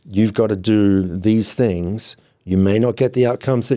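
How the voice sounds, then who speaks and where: In a very clean recording with a silent background, a man with an Australian accent speaks at a fairly low pitch with ordinary pitch variation and a dark, mellow tone. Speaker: software founder, former charter broker. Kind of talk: podcast interview.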